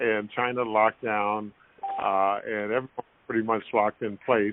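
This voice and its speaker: Using a plain, everyday voice, a man talks at a moderate pace with fairly even intonation. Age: 60s. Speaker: former basketball player. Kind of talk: interview.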